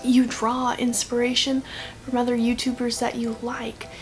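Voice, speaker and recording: Soft-spoken, a woman talks at a moderate pace and a high pitch over noticeable background noise. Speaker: YouTuber vlogger. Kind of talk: casual vlog monologue. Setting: at home at night. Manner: hesitant, thinking out loud.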